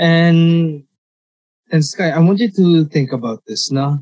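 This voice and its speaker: A man speaks at a very slow pace in a fairly high pitch. His voice is somewhat breathy, with lively intonation. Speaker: podcast host. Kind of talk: casual chat.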